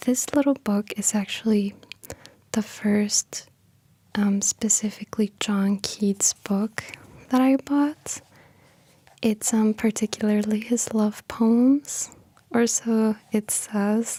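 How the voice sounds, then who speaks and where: A soft-spoken woman's fairly high, somewhat breathy voice with a gentle, dark, mellow tone, fairly even intonation and very even loudness, a very slow pace with long, frequent pauses, dry and close with no echo. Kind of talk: casual intro to camera, talking about the poet. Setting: studio, library room. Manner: soft-spoken, gentle.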